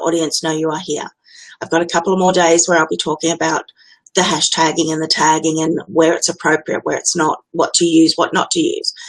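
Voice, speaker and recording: A fairly low-pitched woman in an Australian accent, quick-ish in pace and fairly even in intonation. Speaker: business automation consultant. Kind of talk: Facebook Live tutorial monologue. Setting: live stream, webcam. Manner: casual, direct.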